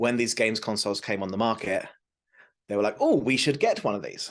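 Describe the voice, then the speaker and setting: A man with a British accent speaks against a quiet background. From southern England, south coast. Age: 40s. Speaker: tech advocate. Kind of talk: interview.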